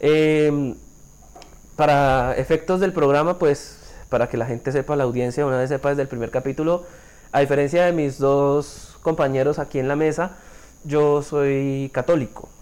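A man speaks in an unremarkable speaking voice at a moderate pace. His pitch is fairly high and his intonation fairly even. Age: 20s. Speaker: podcast co-host. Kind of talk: casual chat.

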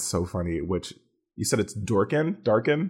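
In a plain, everyday voice, a man with a fairly low pitch talks at a moderate pace on a very clean recording with a silent background. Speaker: Twitch streamer. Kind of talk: casual chat.

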